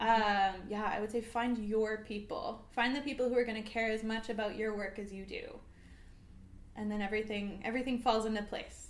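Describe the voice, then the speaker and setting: With a Canadian accent, a woman speaks at a fairly quick pace in a fairly high, monotone, flat voice, with audible room echo. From small town British Columbia, Canada. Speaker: singer-songwriter. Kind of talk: casual interview. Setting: studio, livestream.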